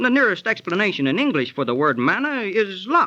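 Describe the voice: Putting on a character voice, a man speaks at a high pitch with big pitch swings and a bright, sharp tone. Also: moderate pace.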